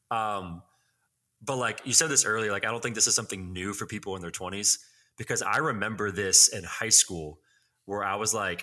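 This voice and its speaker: A bright, sharp tone with ordinary pitch variation comes through long, frequent pauses in a very clean recording with a silent background. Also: man. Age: 20s. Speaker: student pastor and podcast co-host. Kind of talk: casual chat.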